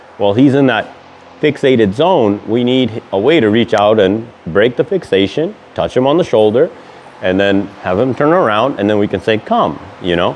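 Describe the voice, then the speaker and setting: Noticeable background noise runs behind a man speaking at a moderate pace and medium pitch. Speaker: dog trainer. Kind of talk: tutorial. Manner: casual, some filler words.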